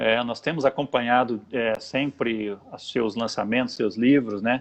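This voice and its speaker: A man speaks at a fairly slow pace in an unremarkable speaking voice, his medium pitch carried with fairly even intonation. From interior of São Paulo state, Brazil. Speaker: pastor and show host. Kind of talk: casual chat. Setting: live video broadcast.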